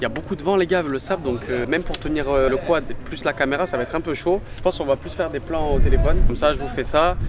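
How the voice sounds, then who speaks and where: A man talks very fast as noticeable background noise sounds around him. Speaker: travel vlogger. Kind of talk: travel vlog. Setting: outdoors in desert. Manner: quiet speech.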